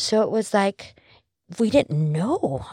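A somewhat breathy woman's voice, dry and close with no echo, on a very clean recording with a silent background. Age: 60s. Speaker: army veteran and intercessor. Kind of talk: testimony.

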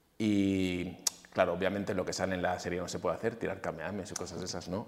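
This man talks at a moderate pace in a very deep, low-pitched voice. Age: 40s. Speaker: fitness coach and former bodybuilder. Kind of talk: casual interview.

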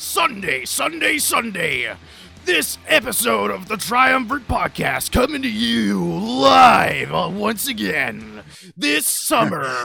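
Shouting in a put-on character voice, a man uses a theatrical tone. His pitch is fairly high, and he speaks at a very slow pace. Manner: loud, hyped, theatrical.

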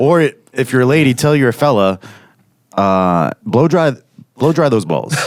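A man at a medium pitch, very wide pitch swings, a fairly slow pace and long, frequent pauses, with music in the background. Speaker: podcast host, musician. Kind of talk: casual banter.

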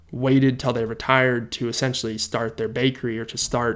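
Moving at a fairly quick pace, a man speaks in a plain, everyday voice. His medium pitch shows ordinary variation. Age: 20s. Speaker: podcaster. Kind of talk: solo podcast monologue. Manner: casual, with many filler words.

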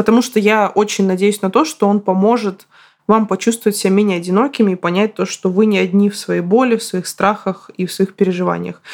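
A woman speaks in a plain, everyday voice at a medium pitch. Her intonation is fairly even and her pace fairly quick. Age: 30s. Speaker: podcast host, writer. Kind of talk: solo podcast monologue.

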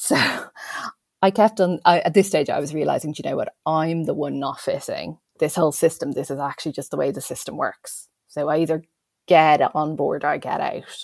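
The speaker has an Irish accent and a moderate pace. Pitch varies in an ordinary way. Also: woman, very deep, low pitch for a woman. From Ireland. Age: 40s. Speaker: educational developer. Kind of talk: casual interview. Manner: chatty.

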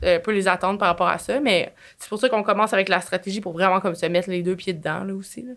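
A woman with a Quebec accent, at a very fast pace, with fairly even intonation and big swings in loudness. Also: medium pitch for a woman. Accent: Québécois French. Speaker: marketing agency entrepreneur. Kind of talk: casual interview.

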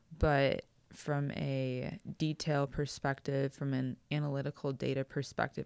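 A woman's very deep, low voice at a fairly slow pace on a very clean recording with a silent background. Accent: American. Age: 30s. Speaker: author. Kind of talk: interview.

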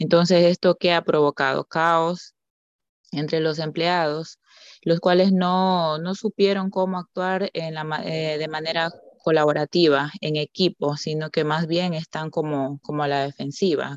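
A woman speaks at a fairly slow pace with a fairly low pitch and fairly even intonation. The sound is dry and close with no echo, and it's a normal speaking voice. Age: 30s. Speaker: banker, master's student. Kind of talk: casual panel discussion.

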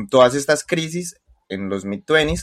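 The speaker talks at a very slow pace with lively intonation. The background is quiet, and the sound is dry and close with no echo. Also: man. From Colombia. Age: 20s. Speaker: podcast co-host. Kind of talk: casual chat.

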